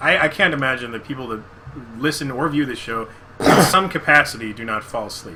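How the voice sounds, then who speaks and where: A man speaks loud with lively intonation and a medium pitch. Noticeable background noise sits behind him. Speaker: podcast co-host. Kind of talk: casual chat. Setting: live video podcast. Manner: sudden loud spikes in volume.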